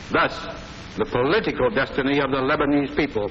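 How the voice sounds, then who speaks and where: A man with an American accent and a fairly high pitch speaks over noticeable background noise. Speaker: head of state. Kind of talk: formal political speech.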